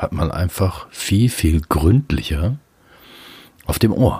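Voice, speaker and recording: A man's very deep, low voice, somewhat breathy, at a very slow pace with very wide pitch swings. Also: dry, close sound with no echo. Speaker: podcaster. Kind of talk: solo monologue. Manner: casual, with many fillers.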